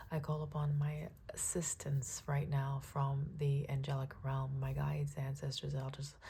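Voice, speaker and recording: The voice is somewhat breathy with a dark, mellow tone and fairly even intonation, heard in audible room echo. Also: woman. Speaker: tarot reader. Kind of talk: tarot reading with prayer. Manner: halting, some garbled speech.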